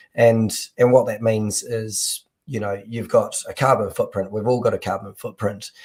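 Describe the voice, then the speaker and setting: A New Zealand accent at a moderate pace in a very clean recording with a silent background. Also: man. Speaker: entrepreneur. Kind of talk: interview.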